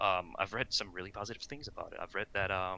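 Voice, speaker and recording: A man speaks with a non-native accent in a fairly low pitch. His tone is bright and sharp, and his pace is moderate. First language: not English. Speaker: hockey podcast co-host. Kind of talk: casual chat. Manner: halting.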